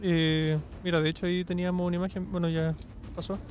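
A man with a Chilean accent, high in pitch, at a moderate pace, with a dry, close sound and no echo. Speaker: podcast panelist. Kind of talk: casual chat.

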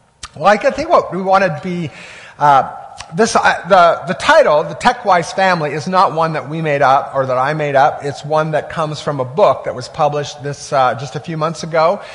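With audible room echo and noticeable background noise, a man of fairly high pitch talks at a moderate pace. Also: ordinary pitch variation. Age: 50s. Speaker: pastor. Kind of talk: sermon. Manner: halting.

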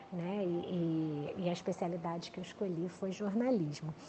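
A woman speaks in a normal speaking voice at a fairly slow pace, with ordinary pitch variation. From Brazil, Rio de Janeiro. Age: 50s. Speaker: PR agency executive. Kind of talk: interview. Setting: remote interview.

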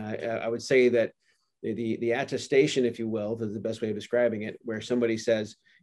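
A man speaks at a very fast pace. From Canada. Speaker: tech company CEO. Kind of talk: business interview.

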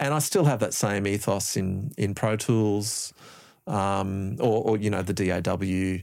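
The recording is very clean, with a silent background. A man with an Australian accent speaks fairly slowly in a fairly low pitch with ordinary pitch variation. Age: 50s. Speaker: music producer and lecturer. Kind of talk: casual chat. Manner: halting.

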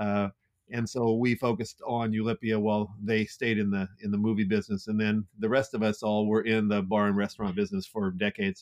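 With an American accent, a man talks at a fairly quick pace in a monotone, flat intonation. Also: dry, close sound with no echo. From US West Coast, Santa Clara, California. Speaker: entrepreneur and nonprofit executive director. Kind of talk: casual interview.

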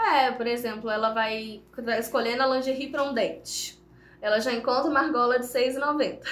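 In a room with audible echo and noticeable background noise, a woman speaks at a moderate pace in a high voice with fairly even intonation. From Brazil, Viçosa (Minas Gerais). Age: 20s. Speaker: makeup artist and small business owner. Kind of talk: casual interview.

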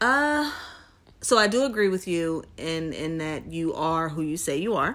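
An unremarkable speaking voice from a woman with an American accent, fairly low in pitch, with lively intonation and a fairly slow pace. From New Jersey suburbs. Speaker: podcast co-host. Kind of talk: casual chat.

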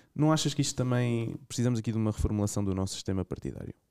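A man speaks in a dark, mellow tone with a European Portuguese accent. The recording is very clean, with a silent background and a dry, close sound with no echo. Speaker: podcast co-host. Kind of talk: interview.

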